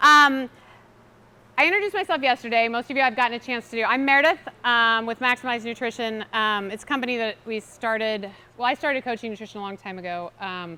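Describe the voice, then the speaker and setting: Loud and very fast, the voice has a bright, sharp tone and an American accent. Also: woman, fairly high pitch for a woman, ordinary pitch variation. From US Midwest, Kansas City. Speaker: nutrition coach. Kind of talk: seminar talk. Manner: casual, filler-heavy.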